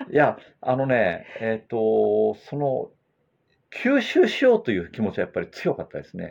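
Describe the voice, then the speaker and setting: This man's volume rises and falls in big swings. His tempo stays moderate. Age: 60s. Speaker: former track cyclist and bike fitter. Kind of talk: casual chat.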